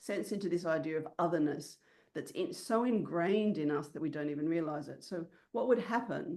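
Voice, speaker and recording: Fairly low-pitched woman with a dark, mellow tone, lively intonation and a very fast pace. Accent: Australian. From Australia. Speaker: business mentor. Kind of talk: online workshop.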